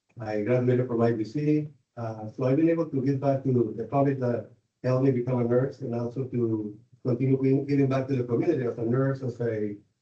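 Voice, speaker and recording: A man with a Spanish accent at a very fast pace, with fairly even intonation. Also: medium pitch for a man. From Mexico. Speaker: nurse, board candidate. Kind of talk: interview. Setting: public board meeting. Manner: halting, many fillers.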